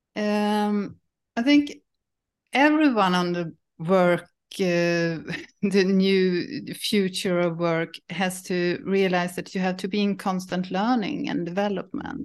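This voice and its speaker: A woman at a very slow pace, medium in pitch, with ordinary pitch variation and a quiet background. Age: 50s. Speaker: psychologist. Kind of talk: interview. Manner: halting.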